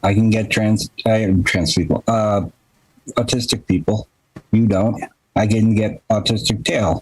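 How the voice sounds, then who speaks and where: A man with a plain, everyday voice speaks at a fairly slow pace, fairly low in pitch, with fairly even intonation. The loudness stays very even, and the sound is dry and close with no echo. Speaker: podcast host. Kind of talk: casual chat.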